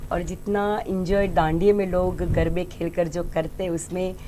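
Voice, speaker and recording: A woman with a Gujarati accent and fairly even intonation. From Gujarat, India. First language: Gujarati (speaking Hindi). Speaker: folk singer. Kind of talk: interview. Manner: halting.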